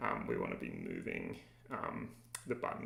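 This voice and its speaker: A man speaks with an Australian accent. There is audible room echo around his voice. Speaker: game developer streamer. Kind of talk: live coding tutorial. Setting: livestream. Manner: casual, many filler words.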